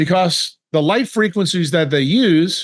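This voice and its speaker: This man's voice is high in pitch. He keeps a moderate pace with ordinary pitch variation. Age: 60s. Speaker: neurosurgeon. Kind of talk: interview.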